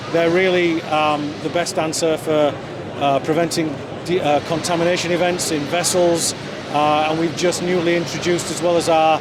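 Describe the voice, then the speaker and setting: Over noticeable background noise and audible room echo, a man talks in a high pitch at a moderate pace. His intonation is monotone and flat. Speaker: company executive. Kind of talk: interview. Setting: trade show booth.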